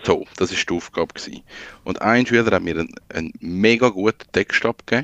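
At a fairly quick pace, a man with a normal speaking voice and ordinary pitch variation is heard in a dry, close sound with no echo. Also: medium pitch for a man, quiet background. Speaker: freelance digital designer. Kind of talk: casual chat.

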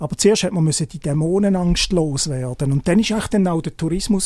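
This man speaks very fast in a fairly high voice. His pitch varies in an ordinary way. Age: 50s. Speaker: journalist. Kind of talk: casual interview. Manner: halting.

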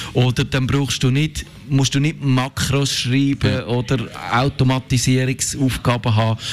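A man with a Swiss accent speaks at a medium pitch in a flat, monotone way. His loudness stays very even, with noticeable background noise behind him. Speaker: tech journalist. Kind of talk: casual chat.

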